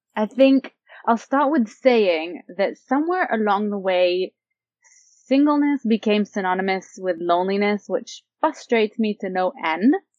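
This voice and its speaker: At a fairly slow pace, a woman with a normal speaking voice talks in a fairly high pitch with lively intonation. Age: 30s. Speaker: blogger on single life. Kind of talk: interview.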